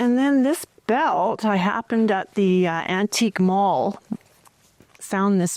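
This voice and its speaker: With a Canadian accent, a woman speaks at a very slow pace and a medium pitch. The sound is dry and close with no echo, and her pitch variation is ordinary. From Canada, northern Alberta. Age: 60s. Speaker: potter. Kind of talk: casual chat.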